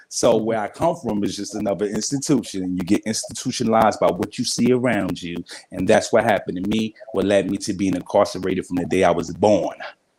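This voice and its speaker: A very fast man with fairly low pitch, ordinary pitch variation and hardly any pauses, over noticeable background noise. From New York City (Brooklyn, Brownsville). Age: 40s. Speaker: motivational speaker and coach. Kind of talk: interview.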